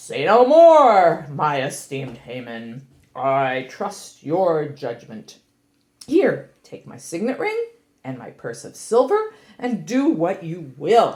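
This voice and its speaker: Using a cartoonish character voice, a woman speaks at a fairly low pitch. Her pace is fairly slow. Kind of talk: family puppet show. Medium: puppet show. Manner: gracious, trusting.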